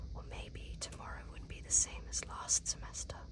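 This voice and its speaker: With noticeable background noise behind it, the whispering moves at a moderate pace. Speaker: ASMR creator. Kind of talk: read story. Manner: whispered.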